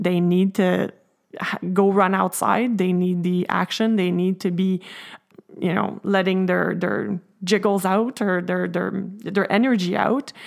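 At a fairly slow pace, a woman with a plain, everyday voice speaks at a medium pitch with fairly even intonation. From French Canada. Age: 40s. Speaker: mother and part-time realtor. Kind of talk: casual chat.

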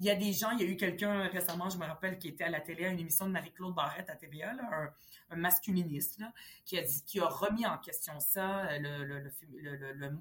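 A woman's fairly low, somewhat breathy voice at a fairly quick pace. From Quebec, Montreal (arrived age 10 from Lebanon). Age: 40s. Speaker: politician. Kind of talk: interview.

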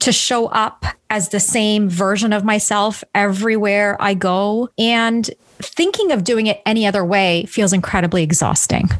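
A woman talks at a moderate pace in a normal speaking voice. Her pitch is fairly high, with ordinary variation. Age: 40s. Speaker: relationship coach. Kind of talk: interview.

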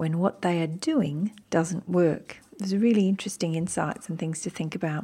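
In an Australian accent, a woman talks at a moderate pace with a fairly low pitch and ordinary pitch variation. Her tone is dark and mellow, and the recording is very clean with a silent background. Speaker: podcast host. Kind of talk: podcast intro narration; interview.

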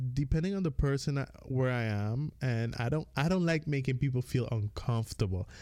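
A man's medium pitch in a Caribbean accent. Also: very clean recording, silent background. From US Virgin Islands, Dominican family. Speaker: podcast co-host. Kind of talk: casual chat.

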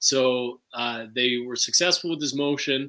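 Here a man speaks at medium pitch in a bright, sharp tone. His pace is fairly slow. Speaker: defendant restaurant owner.

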